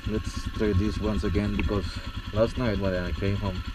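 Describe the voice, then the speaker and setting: A man with a non-native accent mumbles at a moderate pace amid noticeable background noise. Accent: non-native English pronunciation. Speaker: motorcycle rider. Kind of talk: casual rambling talk while riding. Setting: outdoors, on a motorcycle. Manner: mumbling.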